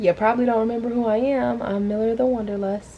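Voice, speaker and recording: This woman speaks with a Southern US accent. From US South, Atlanta Georgia. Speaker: vlogger. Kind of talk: casual vlog talk to camera. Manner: quiet, talking low.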